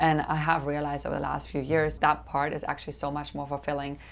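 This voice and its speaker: Here a woman talks with a German accent. Her pace is very fast. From Germany. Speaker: real estate developer and coach. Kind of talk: interview.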